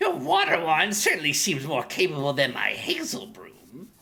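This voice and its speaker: With a put-on character voice, a man speaks at a high pitch and a moderate pace. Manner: imitating a cartoon voice.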